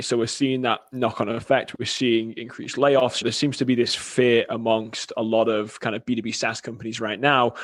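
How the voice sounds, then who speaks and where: With an American accent and monotone, flat intonation, a man talks over noticeable background noise. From England. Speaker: marketing agency CEO. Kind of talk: podcast interview.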